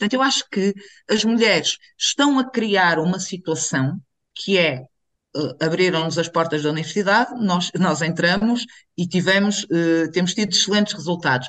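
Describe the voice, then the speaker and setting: Her intonation is lively and her loudness very even, at a moderate pace. The woman has a fairly low pitch and an ordinary speaking voice. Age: 40s. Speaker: activist. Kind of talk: casual chat.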